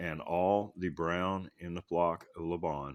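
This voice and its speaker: A man speaks with a very deep, low pitch. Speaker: bible reader. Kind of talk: reading aloud. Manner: halting.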